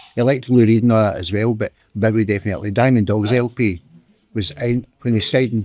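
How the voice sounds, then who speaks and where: A man with a Scottish accent speaks very fast with fairly even intonation. His voice is fairly low in pitch, with a dark, mellow tone. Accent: Scottish (Ayrshire). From Scotland, Ayrshire. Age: 50s. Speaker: local music fan. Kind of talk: casual chat.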